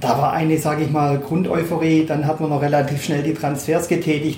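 Noticeable background noise sits under a voice that moves along at a fairly quick pace. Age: 50s. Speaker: club advisory board member, longtime fan. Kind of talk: interview. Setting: club office.

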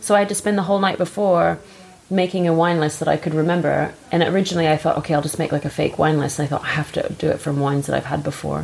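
Over noticeable background noise, a woman with an American accent speaks at a very fast pace. Her pitch is very deep and low, and her intonation is fairly even. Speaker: podcast host. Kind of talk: casual chat about wine.

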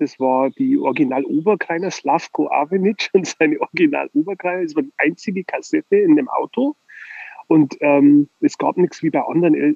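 A man's high voice moves through very wide pitch swings. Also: moderate pace. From Bavaria. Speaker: record label owner. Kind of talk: casual chat. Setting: phone call.

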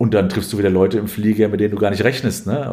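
A man talks at a fairly low pitch. His intonation stays fairly even. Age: 40s. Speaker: sports journalist, newspaper sports editor. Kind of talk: interview. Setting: recorded at his home. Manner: frequent hesitations (äh).

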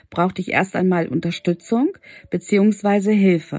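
A woman speaks at a medium pitch with ordinary pitch variation. Her voice sounds dry and close with no echo, with music in the background. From Hannover, northern Germany. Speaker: podcast host, women's coach. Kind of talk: personal monologue, storytelling. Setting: home, at night. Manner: hesitant, many filler words.

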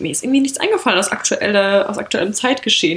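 Against noticeable background noise, a woman speaks in a fairly high voice. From rural Germany. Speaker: podcast co-host. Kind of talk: casual chat.

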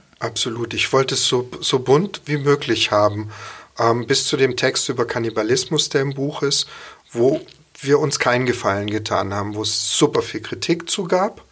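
At a moderate pace, a man speaks at a medium pitch with ordinary pitch variation over noticeable background noise. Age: 50s. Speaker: chef and cookbook author. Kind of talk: casual interview. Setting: studio.

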